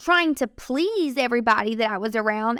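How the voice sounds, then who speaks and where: Loud and energetic, a woman speaks in a bright, sharp tone, recorded dry and close with no echo. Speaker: podcast host. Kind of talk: faith-based encouragement podcast monologue. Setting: studio microphone.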